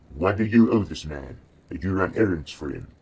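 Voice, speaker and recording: Putting on a character voice, a man speaks at a very deep, low pitch and a fairly quick pace. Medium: read story. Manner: measured, questioning, guarded.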